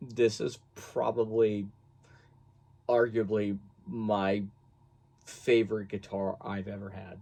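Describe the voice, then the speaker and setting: A man speaks in a fairly low pitch with a dark, mellow tone. His intonation is monotone and flat, and his pace is very slow. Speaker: guitar hobbyist reviewer. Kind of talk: casual product review. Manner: halting, many fillers.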